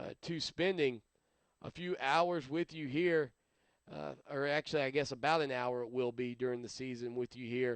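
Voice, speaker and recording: A man talks in an American accent at medium pitch. His pace is moderate and his pitch varies in an ordinary way. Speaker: sports radio host. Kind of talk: solo sports talk show. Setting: live webcast show. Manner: mumbling at times; casual, hesitant.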